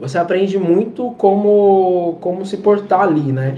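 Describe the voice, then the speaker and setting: With noticeable background noise behind him, a man talks with ordinary variation in pitch. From Brazil, São Paulo. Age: 20s. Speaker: ethical hacker. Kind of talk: casual chat. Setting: video call.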